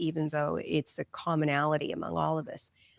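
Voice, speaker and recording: On a very clean, silent-background recording with a dry, close sound and no echo, a woman speaks with a very deep, low pitch and vocal fry. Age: 60s. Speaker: psychic medium and grief counselor. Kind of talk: interview.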